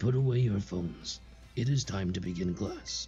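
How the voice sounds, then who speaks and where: Over clear background music, a man puts on a strained character voice with very wide pitch swings at a moderate pace. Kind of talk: classroom instruction.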